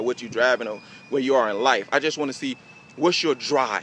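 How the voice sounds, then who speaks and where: A man with a fairly high pitch speaks at a fairly quick pace amid noticeable background noise. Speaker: network marketing recruiter. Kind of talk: motivational sales pitch. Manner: fast; animated.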